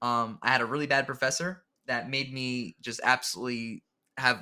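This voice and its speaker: A man with a New Jersey accent, his tone bright and sharp, his intonation fairly even. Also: very clean recording, silent background. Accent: New Jersey American. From New Jersey, US. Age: 20s. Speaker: public school teacher. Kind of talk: casual chat.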